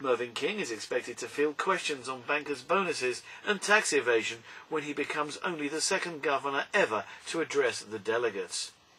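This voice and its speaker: Spoken at a fairly quick pace with lively intonation, the voice comes through over noticeable background noise. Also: man, fairly high pitch for a man. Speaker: radio news reader. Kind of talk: radio news read. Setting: studio.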